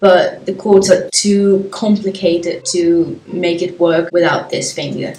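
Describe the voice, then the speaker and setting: Amid noticeable background noise, a woman speaks fairly slowly at a medium pitch with monotone, flat intonation. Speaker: YouTuber. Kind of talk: casual vlog, answering tag questions. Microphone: poor sound quality.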